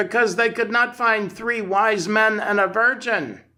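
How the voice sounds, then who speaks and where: On a very clean recording with a silent background, a man does a put-on character voice, high-pitched with fairly even intonation. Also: moderate pace. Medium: read story. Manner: cool, deadpan.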